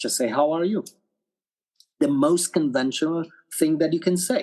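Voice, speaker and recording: A man with a Romanian accent speaks in a high pitch. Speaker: actor and director. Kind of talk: podcast interview. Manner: animated.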